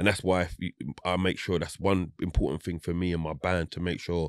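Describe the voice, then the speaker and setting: In a dry recording with no echo and a quiet background, a man with a very deep, low voice talks at a moderate pace. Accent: London. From South London, England; London. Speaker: reggae singer; guest. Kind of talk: casual interview chat. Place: studio. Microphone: studio mic.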